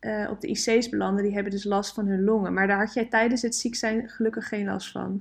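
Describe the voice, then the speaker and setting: Monotone, flat intonation marks a woman's fairly high voice. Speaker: vlogger and runner, podcast host. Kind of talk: casual chat and interview. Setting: at a kitchen table at home.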